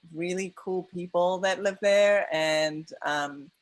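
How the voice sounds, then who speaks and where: A woman with a non-native accent speaks at a very slow pace and a fairly low pitch with monotone, flat intonation, on a very clean recording with a silent background. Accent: foreign accent, non-American. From outside the US. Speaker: documentary filmmaker. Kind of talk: post-screening Q&A. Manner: halting, many fillers.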